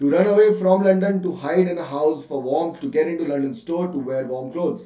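A man with a high pitch speaks at a fairly quick pace in an animated tone, showing ordinary pitch variation, with audible room echo and a quiet background. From India. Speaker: online English teacher. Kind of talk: live online class with quiz. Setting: live online session. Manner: animated, code-switching Hindi and English. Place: home room.

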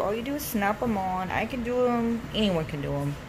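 A woman at a moderate pace, with loud background noise around her. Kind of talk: casual vlog chat. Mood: cheerful, pleased. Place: bathroom.

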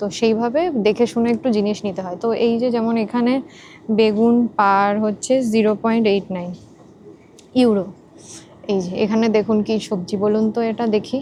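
This woman's voice sits fairly high in pitch. It is an unremarkable speaking voice. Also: fairly even intonation. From West Bengal, India (Purba Bardhaman, near Nabadwip). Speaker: vlogger. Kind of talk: vlog narration. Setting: outdoors and in shops, on bus and tram.

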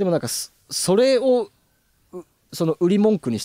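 The man talks at a moderate pace in a dark, mellow tone. The sound is dry and close, with no echo. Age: 30s. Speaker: videographer and former musician. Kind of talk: casual chat.

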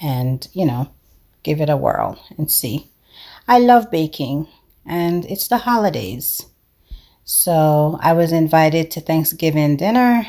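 The voice has a dark, mellow tone and moves at a fairly slow pace, with long, frequent pauses. The background is quiet. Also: woman, very deep, low pitch for a woman. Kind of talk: tutorial. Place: kitchen. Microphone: camera far.

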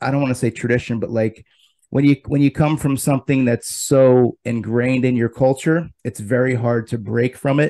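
Against a quiet background, a man speaks at a moderate pace in a dark, mellow tone with fairly even intonation. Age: 40s. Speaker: video interview show host. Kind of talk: casual interview. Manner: halting, repeats words. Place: home room. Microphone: studio mic.

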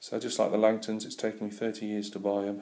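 At a fairly quick pace, a man is talking. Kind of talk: casual vlog chat. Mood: relaxed, friendly. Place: home room. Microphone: phone near.

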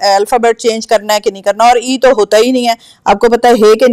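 The sound is dry and close with no echo as a woman speaks at a moderate pace. Her voice has a dark, mellow tone and a fairly high pitch. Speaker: show host. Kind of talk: live show chat.

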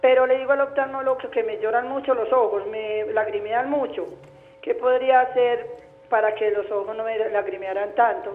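A woman talks at a moderate pace with fairly even intonation, with noticeable background noise behind her. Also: fairly high pitch for a woman. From rural Guarne, Antioquia, Colombia. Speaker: caller. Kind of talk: call-in question. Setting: phone call.

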